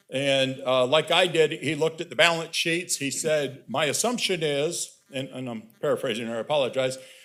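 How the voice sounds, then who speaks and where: A man's fairly high-pitched voice at a moderate pace, with music playing in the background. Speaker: board chair. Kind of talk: public meeting remarks. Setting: public meeting room with microphone. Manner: hesitant, repeats words.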